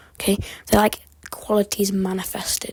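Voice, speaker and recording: Her voice is somewhat breathy, a woman at medium pitch with monotone, flat intonation. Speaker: amateur history YouTuber. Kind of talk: unscripted educational monologue. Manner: halting, occasional stutter; rambling, casual.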